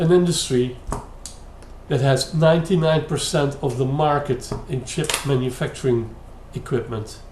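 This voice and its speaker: A man with a Dutch accent speaks at a moderate pace, with audible room echo. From Netherlands. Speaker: YouTube commentator. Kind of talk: critical commentary. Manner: hesitant, many fillers.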